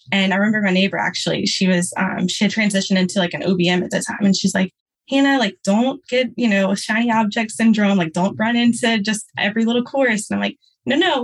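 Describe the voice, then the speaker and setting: A woman talks at a fairly quick pace in a fairly high pitch. Her voice is somewhat breathy, with ordinary pitch variation. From Louisiana. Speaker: registered nurse turned podcast manager. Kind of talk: interview. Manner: casual, filler-heavy.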